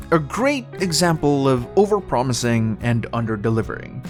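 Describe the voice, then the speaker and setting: A man talks at a moderate pace. Music is heard behind him. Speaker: gaming news commentator. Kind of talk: casual video commentary. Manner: casual, conversational.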